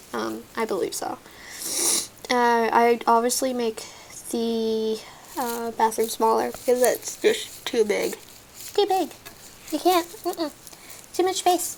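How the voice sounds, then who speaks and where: A woman's high voice with an American accent and very wide pitch swings, very slow with long, frequent pauses, over noticeable background noise. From Texas. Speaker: gaming YouTuber. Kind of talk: gameplay commentary. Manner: talkative.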